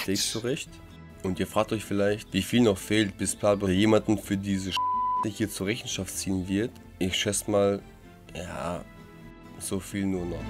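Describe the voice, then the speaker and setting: Over music in the background, a man talks at a fairly low pitch and a fairly slow pace, with long, frequent pauses and monotone, flat intonation. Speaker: cooking show host. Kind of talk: voice-over narration re-recorded in post. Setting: studio microphone. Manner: sarcastic, joking.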